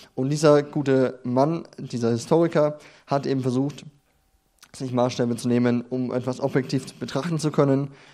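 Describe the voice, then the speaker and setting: Speaking at a moderate pace, a man has a medium-pitched voice with a dark, mellow tone and fairly even intonation. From Bavaria, near Nuremberg (Franconia). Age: 20s. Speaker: theology student and trainee pastor. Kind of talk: sermon. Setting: church stage with audience. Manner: halting, many fillers.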